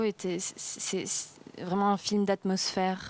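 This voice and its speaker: Her pitch is medium for a woman. She speaks at a very slow pace. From Spain. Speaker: actress. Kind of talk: interview. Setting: film festival. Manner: halting, many repetitions.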